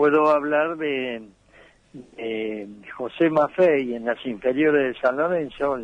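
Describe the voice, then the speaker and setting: A man at a very slow pace, fairly high-pitched for a man, with ordinary pitch variation. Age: 80s+. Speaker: retired footballer. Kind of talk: interview.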